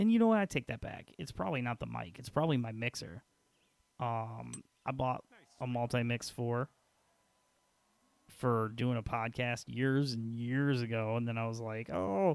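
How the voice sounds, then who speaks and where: Here is a quiet man with an American accent. He talks at a moderate pace and a medium pitch. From Peoria, Illinois, US Midwest. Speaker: gaming streamer. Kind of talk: casual chat. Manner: loud, boisterous; quieter late at night. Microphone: quiet level through old mixer.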